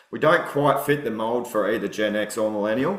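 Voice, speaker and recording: A man with an Australian accent at a very fast pace, with audible room echo and noticeable background noise. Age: 40s. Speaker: political candidate, former soldier and bricklayer. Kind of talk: podcast interview. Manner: casual, many fillers.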